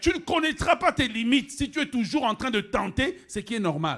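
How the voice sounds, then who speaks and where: Speaking at a moderate pace, the man lets his pitch swing very widely. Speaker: pastor. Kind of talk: sermon. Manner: animated, emphatic preaching.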